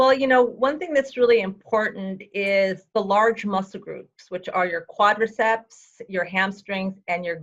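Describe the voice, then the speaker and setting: A woman with a normal speaking voice talks fairly slowly at a fairly high pitch, with ordinary pitch variation. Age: 60s. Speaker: fitness and health coach. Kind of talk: interview.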